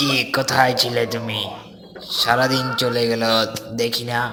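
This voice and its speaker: A cartoonish character voice with clear echo and clear background noise. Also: man, medium pitch for a man, moderate pace. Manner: gruff, dismissive.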